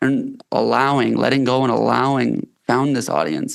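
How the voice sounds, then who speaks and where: A man's medium-pitched voice in a Canadian accent. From Canada. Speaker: company founder and health coach. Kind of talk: podcast interview. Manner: hesitant, many fillers.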